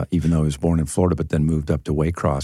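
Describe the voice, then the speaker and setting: A man speaks with a very deep, low pitch. Background noise is noticeable. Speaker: radio show host.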